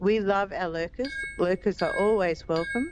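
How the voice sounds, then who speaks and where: Moderate pace, with an Australian accent. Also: woman. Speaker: gaming streamer. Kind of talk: live gameplay stream chat. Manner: chatty, upbeat.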